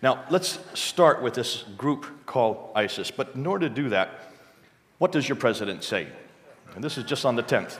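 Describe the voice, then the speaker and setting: At medium pitch, a man speaks with lively intonation. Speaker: missionary and expert on Islam. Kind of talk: church talk with slides. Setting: church with live audience. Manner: fast talker.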